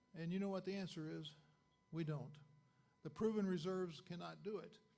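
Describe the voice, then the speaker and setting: Speaking with an American accent, a man uses a high pitch and a dark, mellow tone while audible room echo surrounds his voice. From Arkansas, US South. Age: 70s. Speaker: chemical engineer, dinner speaker. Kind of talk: lecture. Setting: dinner meeting audience. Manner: halting, many fillers.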